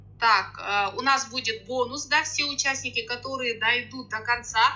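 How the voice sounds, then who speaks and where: Amid noticeable background noise, a woman with a fairly high pitch talks at a moderate pace with fairly even intonation. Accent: Kazakh. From Kazakhstan, rural Akmola region. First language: Kazakh (speaking Russian). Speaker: sales coach. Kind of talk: online webinar. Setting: online webinar.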